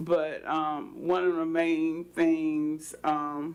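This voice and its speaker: A woman talks in a very deep, low pitch. Her intonation is monotone and flat. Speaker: city commissioner. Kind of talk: council meeting debate. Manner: halting, hesitant.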